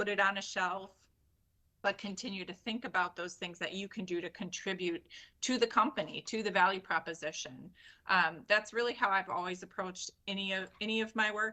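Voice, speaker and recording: Loud and bright with a sharp tone, a woman speaks at a medium pitch. Her pace is fairly quick and her pitch variation ordinary. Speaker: IT technical lead. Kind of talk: interview.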